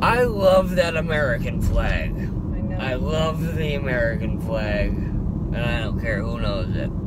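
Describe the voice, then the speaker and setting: A man at a fairly slow pace, with a dry sound with no echo and loud background noise. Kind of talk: casual rambling chat. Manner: drowsy, slurred, loopy enthusiasm. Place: car.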